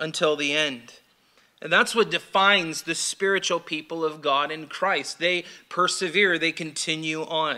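A man with a bright, sharp tone speaks at a fairly slow pace over a quiet background. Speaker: pastor. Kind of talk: sermon. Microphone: podium.

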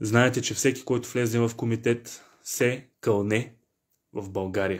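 A man's flat, monotone delivery at a fairly slow pace over a quiet background. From Bulgaria. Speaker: history teacher and online lecturer; history teacher, online lecturer. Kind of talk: online lecture. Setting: live online stream from office. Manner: emotional, passionate. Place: home room. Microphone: phone near.

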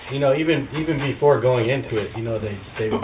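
With an American accent, a man talks over audible room echo. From Santa Cruz, California. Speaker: reggae band member. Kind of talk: casual interview.

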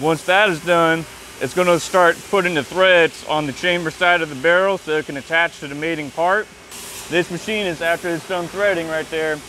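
Delivered at a moderate pace with fairly even intonation, the speech has a dry sound with no echo and light background noise. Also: man, high pitch for a man. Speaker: machinist at the factory. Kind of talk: explanation on a factory tour. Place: factory.

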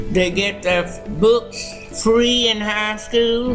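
A woman's fairly high voice at a very slow pace, with ordinary pitch variation and clear music in the background. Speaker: retired schoolteacher. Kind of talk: interview answer. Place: hall.

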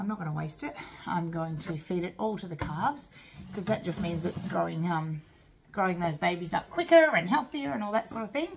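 Noticeable background noise sits behind a woman's voice. She talks at a fairly quick pace and fairly low pitch. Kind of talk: casual vlog chat. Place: kitchen. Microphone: phone near.

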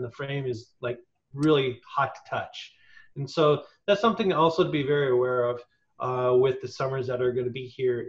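A somewhat breathy man at a fairly high pitch, over a quiet background. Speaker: nonprofit staff, wheelchair user; presenter. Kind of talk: tutorial. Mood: friendly, practical. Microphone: video call.

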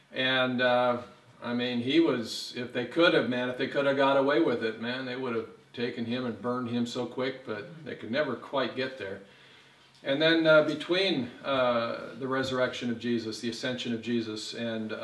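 A man's voice at a moderate pace, with fairly even intonation and audible room echo. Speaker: pastor. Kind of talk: sermon. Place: church.

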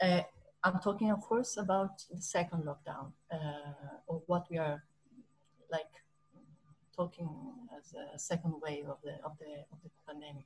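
Over light background noise, a woman speaks at a fairly low pitch and moderate pace, somewhat breathy, with ordinary pitch variation, big swings in loudness and long, frequent pauses. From Italy. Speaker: touring theatre professional. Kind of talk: panel talk. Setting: video call. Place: home room. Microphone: video call.

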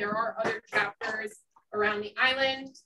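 Someone with an American accent speaks at a moderate pace over noticeable background noise. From New Jersey. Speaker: farm bureau chapter president. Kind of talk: presentation. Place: meeting room. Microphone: camera far.

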